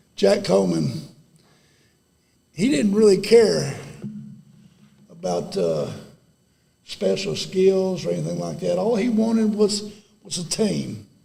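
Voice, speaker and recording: A man speaks at a fairly slow pace with an East Texas accent. His long, frequent pauses carry through audible room echo. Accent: East Texas Southern US. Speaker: former high school football player. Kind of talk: ceremony speech. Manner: halting.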